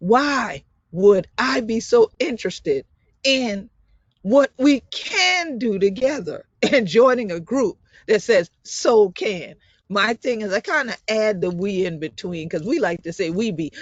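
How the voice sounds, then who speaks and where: A woman with a fairly high pitch talks at a fairly slow pace, with very wide pitch swings. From South Carolina Sea Islands (Gullah/Geechee, Beaufort County). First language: Gullah. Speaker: community leader and scientist presenter. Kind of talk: presentation. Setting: video call.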